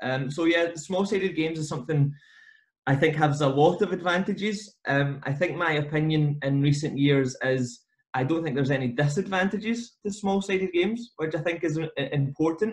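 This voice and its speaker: Moderate pace and ordinary pitch variation in a Scottish accent. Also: man, fairly high pitch for a man. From Scotland. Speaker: football coach educator. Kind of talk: podcast interview. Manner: hesitant, many fillers.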